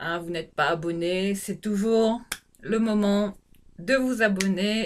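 Light background noise sits behind a woman as she speaks. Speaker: beauty vlogger. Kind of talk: casual vlog chat. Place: bathroom. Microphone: phone near.

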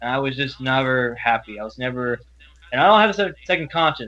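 Talking fairly quickly, a man with an American accent has a fairly high pitch. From Louisiana, US South. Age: 20s. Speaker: college student. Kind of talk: interview testimony. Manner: halting.

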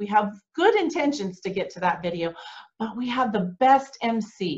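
A woman speaks at a moderate pace over a quiet background. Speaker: conference host. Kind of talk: promotional welcome talk. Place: home room. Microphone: webcam.

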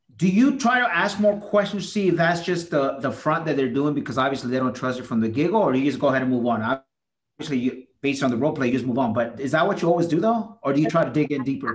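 Against a quiet background, a man with a fairly high, somewhat breathy voice talks very fast with lively intonation. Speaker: real estate agent. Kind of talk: group coaching call. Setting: video call. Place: home room. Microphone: video call.

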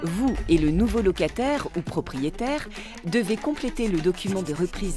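Music plays behind a woman speaking at a moderate pace. Her medium-pitched voice moves in very wide pitch swings. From France. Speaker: voice actor. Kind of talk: corporate explainer narration.

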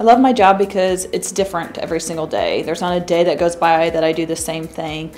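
A woman with an American accent and fairly even intonation, over faint music in the background. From US Midwest, mid-Missouri. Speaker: mortgage loan officer. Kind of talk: promotional interview. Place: studio.

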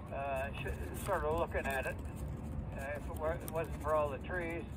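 A man's moderate pace carries over noticeable background noise. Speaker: remote ham radio operator. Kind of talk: casual radio chat. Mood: warm, pleased. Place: home room.

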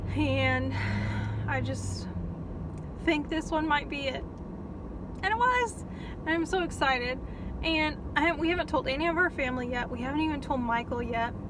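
Against noticeable background noise, a woman talks at a moderate pace with long, frequent pauses, the sound dry with no echo. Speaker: vlogger. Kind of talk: casual vlog chat. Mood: excited, happy. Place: car. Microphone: phone near.

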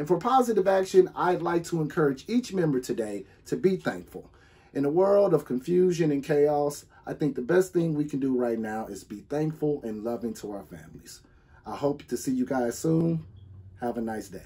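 His tone is dark and mellow, with very wide pitch swings and big swings in loudness. The man keeps a moderate pace. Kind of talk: announcement to club members. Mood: warm, friendly. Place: home room. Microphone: phone near.

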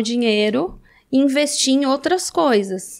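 The background is quiet. A woman talks with ordinary pitch variation. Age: 30s. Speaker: reality show alum and adult content creator; adult content creator. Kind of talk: casual interview chat. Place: studio. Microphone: studio mic.

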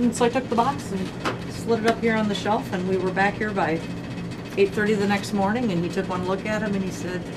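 Loud background noise sits behind a woman talking at a fairly quick pace. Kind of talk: storytelling tour guide talk. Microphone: camera far.

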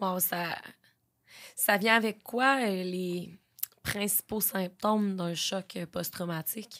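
The delivery is very slow, with long, frequent pauses and fairly even intonation. The background is quiet. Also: woman. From Quebec, Beauce; Quebec. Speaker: podcast host. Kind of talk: casual interview. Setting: studio. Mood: gentle, empathetic. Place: studio. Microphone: studio mic.

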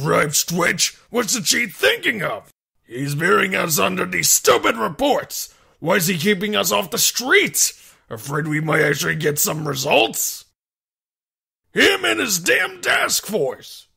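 A raspy man speaks at high pitch on a very clean recording with a silent background. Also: fairly slow pace. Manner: angry, griping, coarse.

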